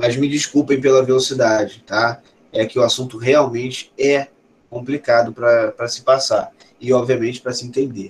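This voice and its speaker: At a moderate pace, a man with a medium pitch sounds somewhat breathy and speaks in a monotone, flat intonation. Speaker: professor. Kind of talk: lecture.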